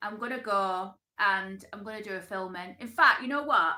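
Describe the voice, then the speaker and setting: Bright and sharp in tone, a woman with a Lancashire accent speaks at a medium pitch with ordinary pitch variation. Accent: Oldham, Lancashire English. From northern England, Oldham. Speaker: YouTuber. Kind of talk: casual live stream chat. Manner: animated.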